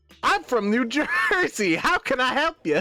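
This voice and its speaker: A put-on character voice, pitched high, with very wide swings up and down. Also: moderate pace. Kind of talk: polite, service-like.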